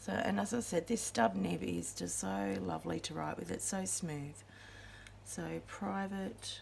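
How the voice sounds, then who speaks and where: Noticeable background noise sits behind speech at a fairly slow pace. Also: woman. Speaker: fountain pen hobbyist. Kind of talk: casual talk to camera.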